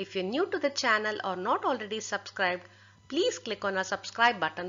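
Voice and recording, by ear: A passage is read out. The delivery sounds natural.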